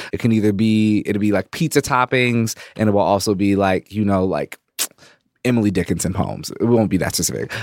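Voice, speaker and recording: An unremarkable speaking voice moves at a fairly quick pace, recorded dry and close with no echo on a very clean recording with a silent background. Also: man, fairly low pitch for a man, ordinary pitch variation. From US. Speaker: poet, podcast co-host. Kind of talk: casual chat.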